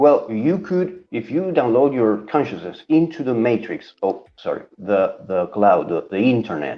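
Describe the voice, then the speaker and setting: He talks at a fairly slow pace, with hardly any pauses and a Spanish accent. This man has a medium pitch and very wide pitch swings. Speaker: comic book YouTuber, co-host. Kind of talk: casual chat.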